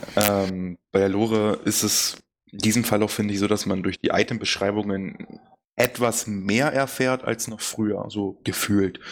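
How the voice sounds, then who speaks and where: A man with an unremarkable speaking voice talks at a fairly slow pace, with a fairly low pitch and fairly even intonation. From eastern Germany. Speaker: gaming podcast co-host. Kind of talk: casual chat.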